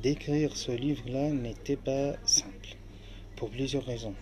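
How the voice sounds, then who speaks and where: A man with an Arabic accent and a medium pitch. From Syria, Aleppo. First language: Arabic (speaking French). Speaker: author and refugee. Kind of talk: interview. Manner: halting.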